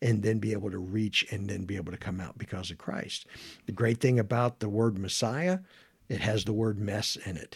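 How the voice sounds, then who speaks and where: A man with a fairly low pitch talks at a moderate pace, somewhat breathy, with ordinary pitch variation. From northern Kentucky. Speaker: pastor. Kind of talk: interview.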